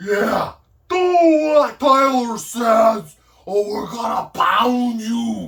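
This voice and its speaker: A man puts on a character voice, pitched extremely high and delivered at a very slow pace. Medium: solo performance. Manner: slow, struggling to put things together.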